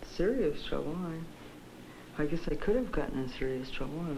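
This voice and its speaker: Over noticeable background noise, a woman with a very deep, low pitch speaks at a moderate pace, her intonation lively and her pauses long and frequent. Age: 20s. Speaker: psychiatric patient. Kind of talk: interview answer. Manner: lucid, clear, standard English.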